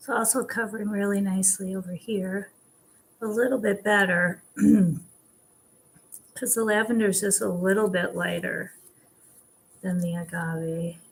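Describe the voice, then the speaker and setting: A woman speaks at a moderate pace with a somewhat breathy voice. Her intonation stays fairly even, broken by long, frequent pauses. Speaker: furniture painter; craft paint reviewer. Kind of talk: instructional talk to camera. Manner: calm. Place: kitchen.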